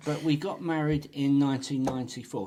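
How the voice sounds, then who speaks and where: A man talks at a fairly quick pace with noticeable noise behind him. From Essex, England. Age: 50s. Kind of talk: casual podcast interview. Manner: talkative.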